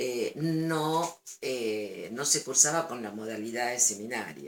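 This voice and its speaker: A woman speaks at a very slow pace, her intonation lively. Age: 60s. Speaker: retired schoolteacher. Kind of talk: interview. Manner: hesitant, with fillers.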